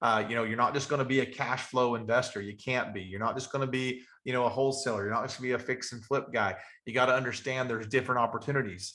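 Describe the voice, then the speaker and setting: A man talks at a very fast pace in an Appalachian accent. His medium-pitched voice has a bright, sharp tone and fairly even intonation. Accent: Southern US (Appalachian). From Western North Carolina. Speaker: real estate investor and trainer. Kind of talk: webinar training talk.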